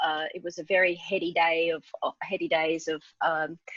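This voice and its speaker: The voice carries an Australian accent with fairly even intonation. The sound is dry and close, with no echo. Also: woman. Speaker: entrepreneur. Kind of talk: interview.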